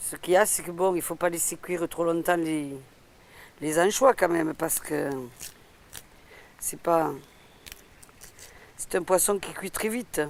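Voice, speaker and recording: Pitched fairly low, a woman speaks at a fairly slow pace with ordinary pitch variation, big swings in loudness and long, frequent pauses over noticeable background noise. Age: 60s. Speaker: retired cook. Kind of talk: cooking demonstration. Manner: casual, halting.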